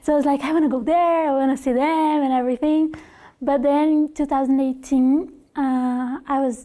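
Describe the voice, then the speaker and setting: A woman with a Brazilian Portuguese accent speaks at a moderate pace in a high, dark, mellow voice. Her intonation stays flat and monotone, and her loudness is very even. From Brazil, Curitiba. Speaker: former au pair. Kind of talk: interview. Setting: classroom. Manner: halting.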